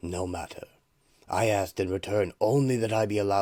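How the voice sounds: This is a natural reading voice. It is used throughout.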